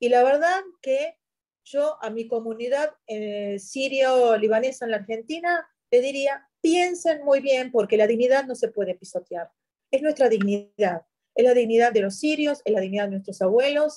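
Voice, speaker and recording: Fairly slow and dark, mellow in tone, a woman speaks. Her pitch is high. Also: lively intonation. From Syria, Yabrud near Lebanese border. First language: Arabic (speaking Spanish). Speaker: journalist. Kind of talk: interview.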